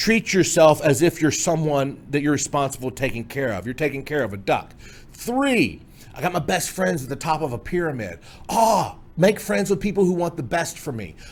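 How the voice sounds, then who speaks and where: Fairly high male voice with vocal fry and very wide pitch swings. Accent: American. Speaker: memory trainer. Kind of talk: tutorial. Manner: fast.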